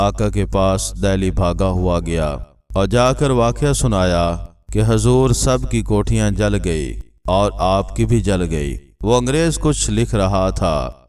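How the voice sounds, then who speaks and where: This man's voice has a very deep, low pitch. It swings very widely in pitch. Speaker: religious story narrator. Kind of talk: Islamic moral story narration.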